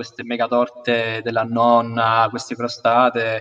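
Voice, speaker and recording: At a moderate pace and medium pitch, a man speaks in an unremarkable speaking voice. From Sicily (Milazzo). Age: 20s. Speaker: university student. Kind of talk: casual chat. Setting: video call.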